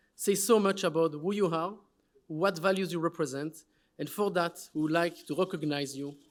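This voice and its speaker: A man speaks at a moderate pace in a high voice with ordinary pitch variation, on a very clean recording with a silent background. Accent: French. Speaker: award presenter at a summit. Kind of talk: award presentation speech.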